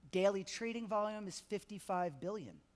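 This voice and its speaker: A man with a New York accent talks at a high pitch and a fairly quick pace. His tone is animated. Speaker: payments industry executive. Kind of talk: conference talk. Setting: stage with audience. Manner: fast.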